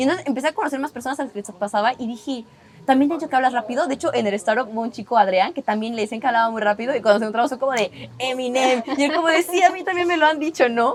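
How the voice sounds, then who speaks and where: Talking at a very fast pace, a woman uses a high pitch and lively intonation over noticeable background noise. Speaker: podcast guest. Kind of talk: casual interview chat.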